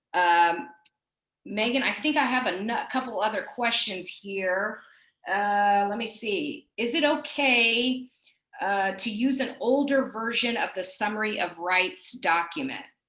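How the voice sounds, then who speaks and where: The voice has a bright, sharp tone and lively intonation, moving at a fairly slow pace with audible room echo. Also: woman, fairly high pitch for a woman. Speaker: compliance director, webinar speaker. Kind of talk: webinar presentation. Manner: hesitant fillers.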